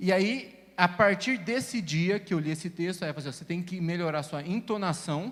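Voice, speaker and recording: This man's pitch varies in an ordinary way as he talks at a fairly quick pace. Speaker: teacher. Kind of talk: casual chat.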